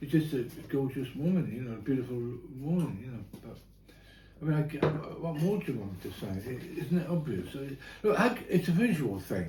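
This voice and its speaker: A man's fairly high, fairly quick voice with very wide pitch swings, big swings in loudness, long, frequent pauses and audible room echo. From Ireland. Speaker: dinner guest, UFO enthusiast. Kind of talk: casual chat. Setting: dinner table at home.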